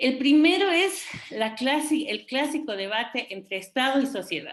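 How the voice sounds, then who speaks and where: Her pitch is high and swings very widely. The woman keeps a moderate pace. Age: 60s. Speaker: feminist expert panelist. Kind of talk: panel debate talk. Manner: hesitant, many fillers.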